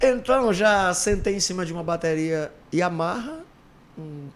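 Speaking very slowly, a man uses lively intonation at a high pitch. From Ceará, Brazil (Iguatu); Ceará, Brazil. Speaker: former band singer; podcast guest. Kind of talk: casual interview chat. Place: studio. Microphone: studio mic.

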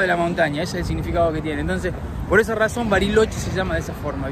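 This man's voice has a dry sound with no echo. Noticeable background noise sits behind him. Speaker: travel vlogger. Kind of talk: casual travel vlog commentary. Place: street. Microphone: phone near.

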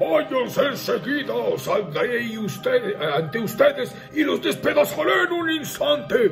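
A man speaks loudly and fairly slowly in a put-on character voice. Clear music plays in the background. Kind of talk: dramatic folk tale narration with character voice. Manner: menacing, booming.

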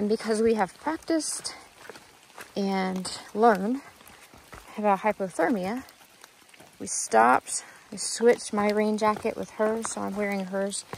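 The pace is fairly slow, with long, frequent pauses. The sound is dry with no echo, and there is light background noise. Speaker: hiker vlogger. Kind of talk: casual vlog chat. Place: forest. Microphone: phone near.

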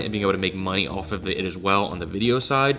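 A man talks at a very fast pace with ordinary pitch variation. Faint music plays in the background. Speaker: sneaker reseller vlogger. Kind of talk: casual vlog chat. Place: home room.

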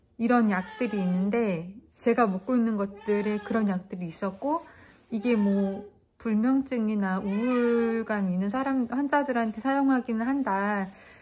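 A somewhat breathy woman at a very slow pace, fairly high in pitch, with ordinary pitch variation. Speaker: vlogger. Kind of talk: casual vlog monologue. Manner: rambling, halting.

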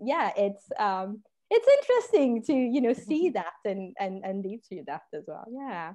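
With a French accent, a woman talks at a fairly slow pace in a fairly high pitch. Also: quiet background. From France. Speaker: podcast host. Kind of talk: casual conversation. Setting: video call. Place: home room. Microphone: earbuds.

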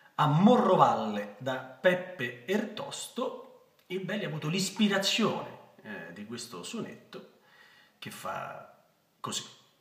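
A man with a high pitch talks at a very slow pace, and room echo is audible. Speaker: actor. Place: home room. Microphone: phone near.

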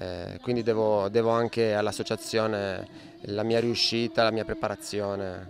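In a plain, everyday voice, a man with a fairly low pitch and fairly even intonation talks at a fairly slow pace with hardly any pauses, the sound dry with no echo and light background noise. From Italy. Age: 30s. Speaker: rodeo bull rider. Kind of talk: interview. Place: farm. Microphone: handheld.

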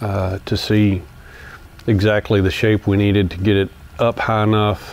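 At a fairly slow pace, a man with a fairly low voice speaks in a monotone with flat intonation. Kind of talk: tutorial. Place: workshop.

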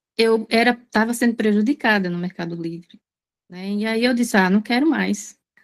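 A woman's plain, everyday voice, fairly high in pitch, with ordinary pitch variation at a moderate pace against a quiet background. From Sergipe, northeast Brazil. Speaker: online marketplace seller. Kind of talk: casual chat. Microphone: video call.

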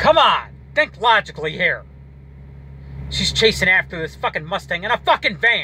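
A man with an American accent speaks at a moderate pace, the sound dry with no echo and light noise in the background. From Detroit, Michigan. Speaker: vlogger, movie reviewer; movie reviewer. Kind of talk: casual monologue review. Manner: rambling, hesitant with fillers. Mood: critical, mildly exasperated. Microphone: phone near.

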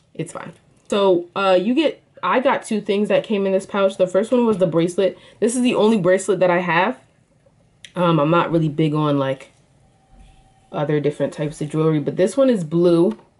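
An animated woman at a medium pitch, fairly quick pace and lively intonation. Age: 20s. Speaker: YouTuber, product reviewer and college student. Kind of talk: casual product review vlog. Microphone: phone near.

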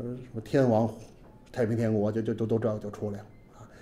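Male speech at a medium tempo. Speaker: history teacher. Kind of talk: lecture. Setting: stage with audience. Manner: animated. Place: classroom.

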